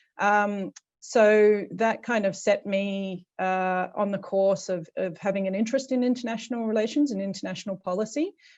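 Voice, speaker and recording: A woman with an Australian accent speaks at medium pitch and a moderate pace, using fairly even intonation and hardly any pauses, against a quiet background. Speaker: policy advisor, program alumna. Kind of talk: panel introduction on video call.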